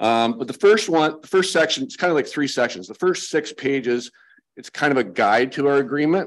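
Speaking with a Canadian accent, a man lets his pitch swing very widely. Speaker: conservation authority manager; delegate presenting to council. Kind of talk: presentation to council; meeting presentation. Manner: halting. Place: meeting room. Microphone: podium.

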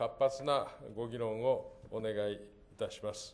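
A man talks at a very slow pace. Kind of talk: formal opening speech. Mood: formal, polite. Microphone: podium.

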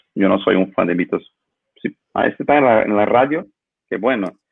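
A man talks at a medium pitch with ordinary pitch variation. The sound is dry with no echo, and the background is quiet. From Brazil. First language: Portuguese (speaking Spanish). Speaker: lighting designer; guest. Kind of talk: interview. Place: home room. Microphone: video call.

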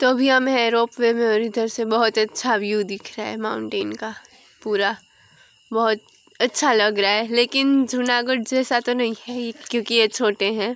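A woman speaks in a monotone, flat way. The sound is dry, with no echo. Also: fairly slow pace. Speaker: travel vlogger. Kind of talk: casual vlog chat. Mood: enjoying the view. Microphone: phone near.

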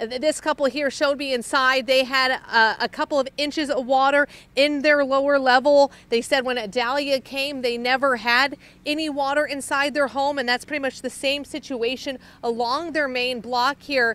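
At a moderate pace, a woman speaks in a high, bright, sharp voice with monotone, flat intonation, in a dry sound with no echo. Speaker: TV field reporter. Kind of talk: live news report. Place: garden. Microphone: handheld.

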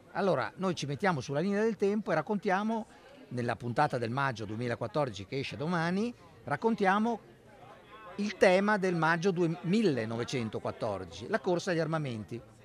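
With crowd noise behind him, a man with a high voice speaks at a moderate pace with very wide pitch swings, the sound dry with no echo. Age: 60s. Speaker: history professor. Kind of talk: interview. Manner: halting. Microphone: studio mic.

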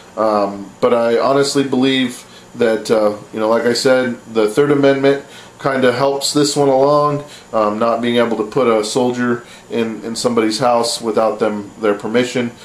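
Heard with audible room echo, a man speaks at a moderate pace with fairly even intonation. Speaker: vlogger. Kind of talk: opinion commentary vlog. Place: home room. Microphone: webcam.

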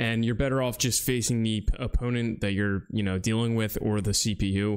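A man's monotone, flat delivery in an American accent, very even in loudness against a quiet background. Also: medium pitch for a man, moderate pace. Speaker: gaming YouTuber. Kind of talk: casual gaming tutorial commentary. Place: home room. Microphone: studio mic.

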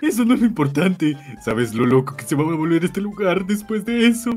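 Someone speaks in a put-on character voice at a fairly quick pace. Clear background noise is present. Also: man, high pitch for a man. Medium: role play.

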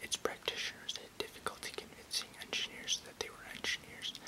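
Loud background noise sits under a man speaking at a moderate pace. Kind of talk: reading aloud an encyclopedic text. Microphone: webcam.

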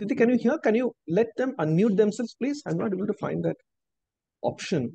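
A man's high voice with an Indian accent, dark and mellow in tone, at a fairly quick pace with ordinary pitch variation, dry with no echo against a quiet background. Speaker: university outreach coordinator and workshop host; workshop host. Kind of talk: webinar welcome and moderation. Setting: video call. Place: home room. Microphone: video call.

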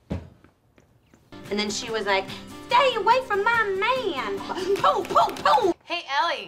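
A woman uses a put-on character voice at an extremely high pitch, with a bright, sharp tone and very wide pitch swings. She speaks at a slow pace over faint music in the background.

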